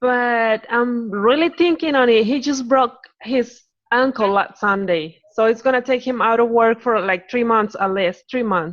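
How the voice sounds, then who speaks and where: In a Spanish accent, a woman speaks at a fairly slow pace with a fairly high pitch and ordinary pitch variation. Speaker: new fitness coach. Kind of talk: group call discussion.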